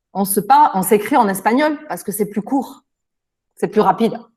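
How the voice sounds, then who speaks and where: Somewhat breathy, a woman with a fairly high pitch talks at a moderate pace, stopping for long, frequent pauses. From France. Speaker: native French speaker interviewed by students. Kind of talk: interview answers. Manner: hesitant, with fillers.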